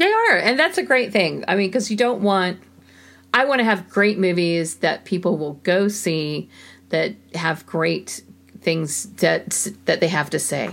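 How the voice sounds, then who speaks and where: A woman in a plain, everyday voice speaks at a fairly slow pace, her medium pitch rising and falling with lively intonation. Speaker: podcast co-host. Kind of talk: casual chat.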